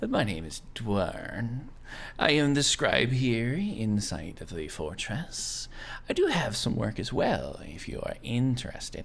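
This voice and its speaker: Through clear background noise, a man does a put-on character voice at a fairly slow pace and medium pitch. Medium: actual play. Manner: formal, polite.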